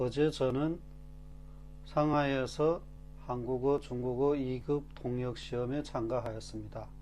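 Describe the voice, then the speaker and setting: A man talks at a very slow pace with long, frequent pauses while music plays in the background. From Korean-Chinese from China. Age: 40s. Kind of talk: casual talk to camera.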